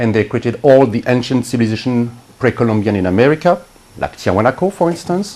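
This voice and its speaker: Over noticeable background noise, a man talks with lively intonation in a medium pitch. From France, Brittany. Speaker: spiritual healer. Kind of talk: interview monologue.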